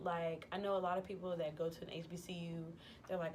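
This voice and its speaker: The woman's speech moves at a fairly quick pace. Her voice carries audible room echo. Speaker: vlogger. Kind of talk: casual vlog monologue. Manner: casual, many fillers (um, like).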